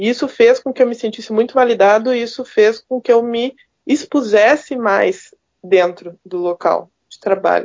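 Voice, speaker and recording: A woman with an ordinary speaking voice talks at a fairly slow pace, her fairly high pitch showing ordinary pitch variation. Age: 30s. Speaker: microbiologist and university lecturer. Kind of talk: podcast interview.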